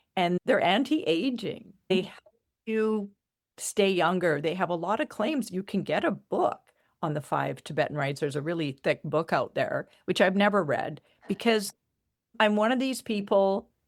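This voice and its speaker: A woman uses an ordinary speaking voice at medium pitch, moderate pace and lively intonation, recorded very clean with a silent background and a dry, close sound with no echo. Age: 60s. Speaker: spiritual coach and energy healer. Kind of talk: casual interview chat.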